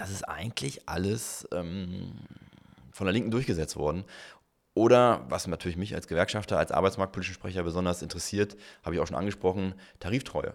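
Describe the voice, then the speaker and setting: On a very clean recording with a silent background, a man with a very deep, low pitch and ordinary pitch variation talks at a fairly quick pace broken by long, frequent pauses. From northern Germany, near Hannover. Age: 40s. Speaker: politician and labour lawyer. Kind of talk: interview.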